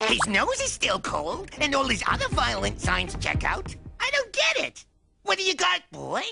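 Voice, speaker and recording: A cartoonish character voice at a moderate pace, with faint music in the background. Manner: eager, dopey.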